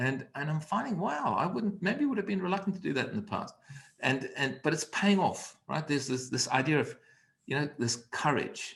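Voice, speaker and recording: This man has a normal speaking voice, fairly high in pitch, with lively intonation at a moderate pace. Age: 60s. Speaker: communication coach. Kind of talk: online conversation.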